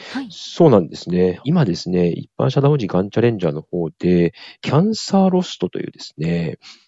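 The man's loudness swings in big ways. His pace is fairly quick. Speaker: cancer survivor and nonprofit founder. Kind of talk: interview. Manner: polite, with frequent fillers.

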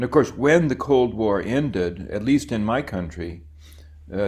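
A man with an American accent and a fairly low-pitched voice. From US. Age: 70s. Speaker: professor of international relations. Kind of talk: interview.

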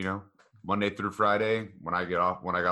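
A man with a fairly low pitch talks at a fairly quick pace in a bright, sharp tone, with ordinary pitch variation on a very clean recording with a silent background. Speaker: guest. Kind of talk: casual chat.

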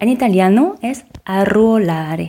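Speaking in a French accent, a woman has a dark, mellow tone and very wide pitch swings. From France. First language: French (speaking Spanish). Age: 30s. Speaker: podcast co-narrator. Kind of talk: scripted narration.

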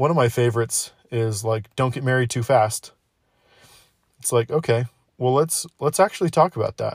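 Pausing long and often, a man with a medium pitch speaks at a moderate pace, somewhat breathy, with ordinary pitch variation and a dry, close sound with no echo. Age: 20s. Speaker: podcast host. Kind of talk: casual monologue.

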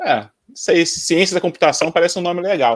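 The intonation is lively and the pace moderate, with a dry, close sound and no echo. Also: man. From Brazil, Rio de Janeiro then interior. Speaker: software developer. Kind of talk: casual chat.

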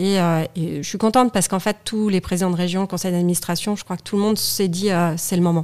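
A woman talks at a very fast pace with hardly any pauses in a very clean recording with a silent background. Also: medium pitch for a woman. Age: 40s. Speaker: studio photographer and federation president. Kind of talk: casual interview chat. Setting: in person, same room as host.

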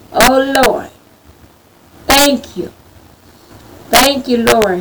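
Very slow speech in an American accent, with long, frequent pauses, ordinary pitch variation, big swings in loudness, and noticeable background noise. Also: woman. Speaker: prayer leader. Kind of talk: fervent prayer. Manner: pleading, fervent; repetitive, call-and-response.

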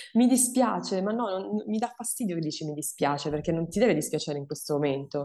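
Racing at a very fast pace, a woman with a fairly low pitch, a dark, mellow tone and vocal fry moves through very wide pitch swings. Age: 30s. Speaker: breast cancer survivor and awareness content creator. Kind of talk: testimony.

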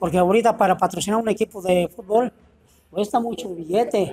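With music in the background, a man speaks at a high pitch. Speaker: veteran football referee. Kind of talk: panel discussion.

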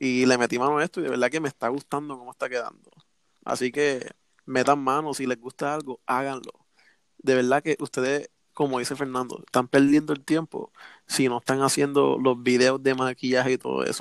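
A man with a Puerto Rican accent, medium-pitched and flat in a monotone, at a moderate pace, in a dry, close sound with no echo. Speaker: communications student, amateur camera operator. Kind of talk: casual chat. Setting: call.

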